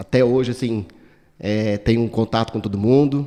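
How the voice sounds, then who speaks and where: Talking at a fairly slow pace, a man uses ordinary pitch variation. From Brazil, São Paulo state interior. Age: 40s. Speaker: political candidate. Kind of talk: interview. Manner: casual, hesitant.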